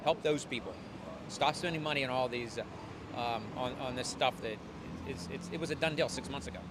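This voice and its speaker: Over noticeable background noise, a man talks at a fairly quick pace with a medium pitch and lively intonation. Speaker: passerby interviewee. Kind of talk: street interview. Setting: outdoors on the street. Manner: fast; opinionated, repetitive stammering.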